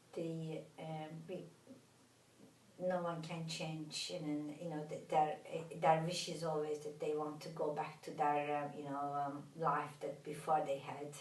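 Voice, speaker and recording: A woman with a Turkish accent and a very deep, low pitch speaks at a fairly slow pace in a flat monotone, with noticeable background noise and audible room echo. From Turkey. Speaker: therapist. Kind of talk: interview. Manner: halting, many fillers.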